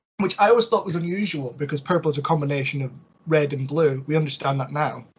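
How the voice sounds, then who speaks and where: At a very fast pace, a man talks in a somewhat breathy voice with fairly high pitch. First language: Scottish Gaelic. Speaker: ancient history expert guest. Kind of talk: podcast discussion. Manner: hesitant with fillers.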